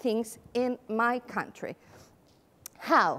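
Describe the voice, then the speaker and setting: There is noticeable background noise as a woman speaks with a Spanish accent. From Spain. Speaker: occupational therapist and company founder. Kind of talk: conference presentation. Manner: animated.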